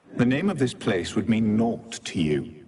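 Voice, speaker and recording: A man's put-on character voice, medium in pitch, at a moderate pace. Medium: video game. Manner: terse, aloof.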